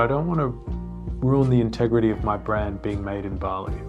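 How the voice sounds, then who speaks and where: Fairly brisk male speech amid audible room reverberation and background music. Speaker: entrepreneur and business vlogger. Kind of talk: casual advice talk.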